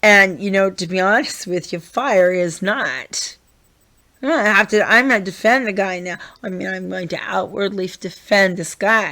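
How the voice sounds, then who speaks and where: Bright, sharp-toned woman's voice at medium pitch, fairly slow pace, ordinary pitch variation. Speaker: vlogger. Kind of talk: rant. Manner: loud, yelling.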